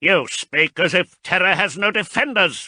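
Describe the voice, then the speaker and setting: A man puts on a character voice. He speaks in a raised, projected voice. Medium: read story.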